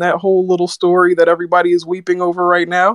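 A man with a dry, close sound and no echo. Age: 30s. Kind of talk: casual chat.

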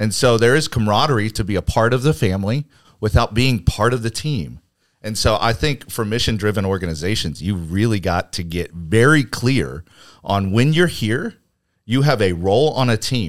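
A man with an American accent speaks in an unremarkable speaking voice, fairly low in pitch, with lively intonation at a moderate pace. The recording is very clean, with a silent background. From Arizona (Phoenix). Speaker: entrepreneur and church leader. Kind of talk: casual chat.

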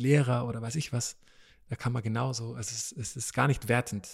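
The voice is somewhat breathy, with fairly even intonation at a moderate pace. The recording is very clean, with a silent background. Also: man. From East Africa (Tanzania, Malawi, Kenya), born in Vienna. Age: 30s. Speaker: preacher. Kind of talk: casual interview. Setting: dining hall at a retreat centre.

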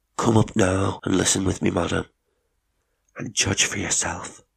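Whispering in a put-on character voice, a man sounds raspy as he speaks at a moderate pace. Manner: low whisper.

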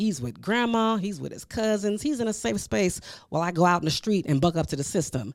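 Very wide pitch swings mark a woman's animated tone as she talks at a fairly quick pace in a very clean recording with a silent background. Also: fairly low pitch for a woman. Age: 40s. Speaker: podcast host. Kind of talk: casual monologue.

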